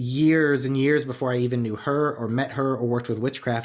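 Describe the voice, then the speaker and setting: In a very clean recording with a silent background, a man with a plain, everyday voice speaks at medium pitch with fairly even intonation. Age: 30s. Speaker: podcast host. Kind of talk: casual chat.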